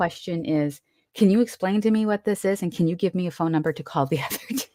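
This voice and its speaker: A woman with a plain, everyday voice speaks fairly quickly at a fairly low pitch, with ordinary pitch variation. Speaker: Reiki master teacher and intuitive medium. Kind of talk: casual conversation.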